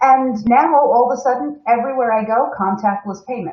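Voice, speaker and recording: With an American accent, a woman speaks at a moderate pace in a high pitch. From United States. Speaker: corporate webinar host. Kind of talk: live stream presentation. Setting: live stream from home.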